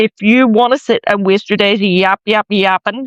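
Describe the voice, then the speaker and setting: Speaking in an animated tone at a moderate pace, a man with a Northern Irish accent has a high pitch. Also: dry, close sound with no echo. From Northern Ireland. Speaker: commentary vlogger. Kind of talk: opinion rant video.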